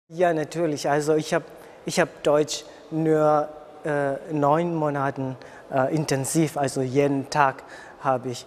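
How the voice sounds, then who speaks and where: A man with an Indonesian accent speaks very slowly in a monotone, flat intonation over noticeable background noise. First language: Indonesian (speaking German). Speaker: international university student. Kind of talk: interview. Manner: halting.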